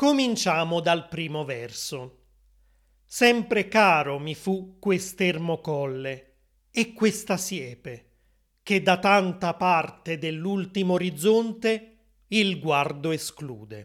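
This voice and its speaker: In a very clean recording with a silent background, a man with a high pitch speaks at a very slow pace with lively intonation. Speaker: language teacher podcast host. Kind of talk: poetry reading aloud, then plain-Italian paraphrase and explanation. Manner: measured, clear, formal, slow; expressive, lyrical poetic delivery.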